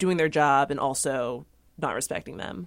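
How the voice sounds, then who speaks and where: Here a woman speaks at a moderate pace. Her pitch is very deep and low. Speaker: newspaper environment reporter. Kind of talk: news panel discussion. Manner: hesitant, filler-heavy.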